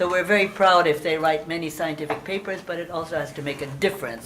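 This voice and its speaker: A woman speaks in a very deep, low pitch with fairly even intonation. Audible room echo and noticeable background noise are present. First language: Hungarian. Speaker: moderator. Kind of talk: panel introduction.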